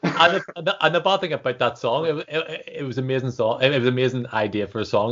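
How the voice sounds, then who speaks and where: Mumbling at a very fast pace, the speaker uses lively intonation. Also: man. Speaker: podcast host. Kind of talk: casual chat.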